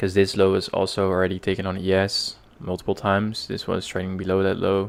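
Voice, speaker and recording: A man talks at a fairly quick pace with a Dutch accent. His very deep, low voice stays monotone and flat. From Netherlands. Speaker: day trader streamer. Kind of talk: live trading stream commentary. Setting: live stream. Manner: halting, many fillers.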